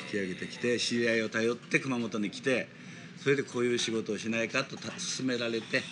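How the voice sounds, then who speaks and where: Here is a man with a medium pitch. He speaks in a monotone, flat way. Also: fairly quick pace. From Kumamoto, Japan. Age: 70s. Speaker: plastic model shop owner. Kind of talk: casual chat.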